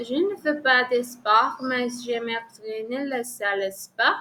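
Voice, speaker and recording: A woman with a Colombian accent has a high pitch and a bright, sharp tone. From Colombia, Villavicencio. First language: Spanish (speaking French). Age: 30s. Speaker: French language learner. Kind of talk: oral exam practice. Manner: halting, many hesitations.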